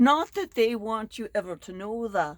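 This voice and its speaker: Lively in intonation, a woman speaks at a fairly high pitch with vocal fry. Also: very clean recording, silent background. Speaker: Bible lesson presenter. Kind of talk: spoken lesson.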